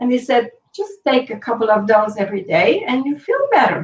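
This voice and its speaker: A woman with a French Canadian accent and a fairly high pitch. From Quebec, Montreal. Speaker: healing practitioner, author. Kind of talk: personal testimony in interview.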